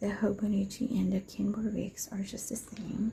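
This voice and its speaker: Soft-spoken, a woman talks at a fairly slow pace. Her medium-pitched voice keeps a fairly even intonation. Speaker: planner hobby vlogger. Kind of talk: casual tutorial. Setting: at home near bedroom.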